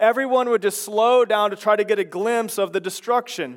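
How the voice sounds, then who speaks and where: Here a man with an American accent speaks at a fairly quick pace. His pitch is high and his intonation fairly even. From Chicago. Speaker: pastor. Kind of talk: sermon. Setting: church.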